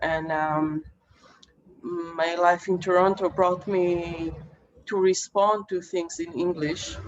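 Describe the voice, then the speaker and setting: Her intonation is monotone and flat, her pitch fairly low. This woman speaks very slowly, with long, frequent pauses. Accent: Israeli. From Israel. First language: Hebrew. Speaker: poet. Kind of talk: panel discussion answers. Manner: halting, many fillers.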